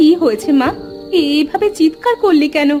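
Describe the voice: Clear music plays behind a woman doing a cartoonish character voice. She speaks at a moderate pace and high pitch with lively intonation.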